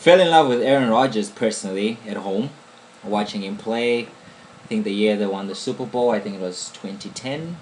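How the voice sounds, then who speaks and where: Someone with an African accent speaks at a moderate pace with lively intonation, with noticeable background noise. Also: man. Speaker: podcast co-host. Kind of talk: casual chat.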